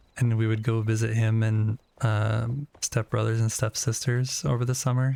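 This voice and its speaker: Speaking at a fairly slow pace with an Upper Midwest accent, a man uses a fairly low pitch and monotone, flat intonation. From US Upper Midwest, Wisconsin. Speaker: game streamer. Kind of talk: casual chat.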